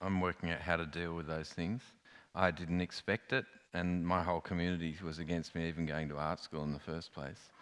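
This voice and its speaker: A man speaks with an Australian accent at a very deep, low pitch. The recording is very clean, with a silent background. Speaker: artist. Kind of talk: panel discussion on stage. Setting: stage with audience.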